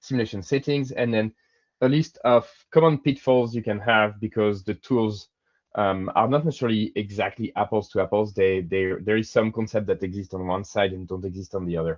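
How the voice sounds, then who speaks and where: A man with a French accent, fairly low pitch, ordinary pitch variation and a fairly quick pace. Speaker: software engineer presenter. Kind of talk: webinar presentation. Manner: hesitant, many fillers.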